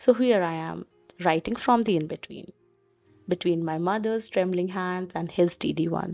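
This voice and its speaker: Soft-spoken and gentle in tone, a woman with a fairly low pitch talks at a moderate pace with ordinary pitch variation while music plays in the background. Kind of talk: poetic reflective narration. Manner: soft, gentle.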